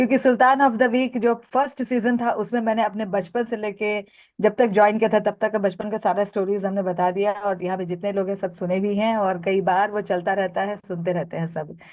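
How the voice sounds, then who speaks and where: A woman speaks at a medium pitch with fairly even intonation. Her pace is moderate, with hardly any pauses. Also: quiet background. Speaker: entrepreneur, handicraft business founder. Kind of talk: interview testimony. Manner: loud by habit; hesitant with filler sounds.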